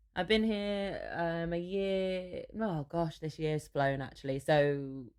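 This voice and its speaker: In a Manchester accent, a woman with a fairly low pitch and ordinary pitch variation talks at a very slow pace. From Manchester, northern England. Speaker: singer-songwriter. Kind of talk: interview.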